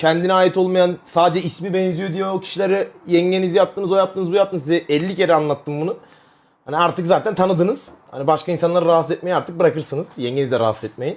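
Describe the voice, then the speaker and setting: A man speaks loudly at a very fast pace with a high pitch and an animated tone. His pitch varies in an ordinary way. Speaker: streamer. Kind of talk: casual chat. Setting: live stream.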